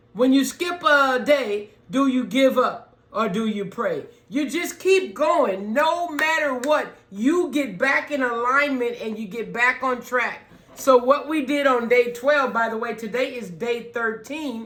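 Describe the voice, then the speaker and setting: The talking unfolds at a fairly slow pace against noticeable background noise. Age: 50s. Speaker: channel owner learning piano. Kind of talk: casual tutorial vlog. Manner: halting, many fillers.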